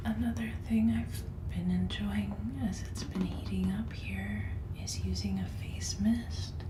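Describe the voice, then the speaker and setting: A woman speaks fairly slowly in a very deep, low voice with ordinary pitch variation. Noticeable background noise runs under her words. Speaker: ASMR creator. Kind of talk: skincare routine talk, ASMR. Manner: whispered, soft-spoken.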